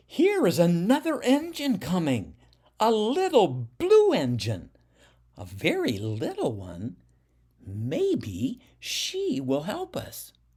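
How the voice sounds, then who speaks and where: A man performs in a put-on character voice. His pace is very slow. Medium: read story.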